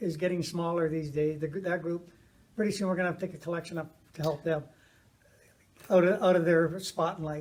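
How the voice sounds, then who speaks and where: A man with a high pitch and monotone, flat intonation, at a very fast pace broken by long, frequent pauses. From Canada. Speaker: interviewer. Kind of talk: casual chat. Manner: halting.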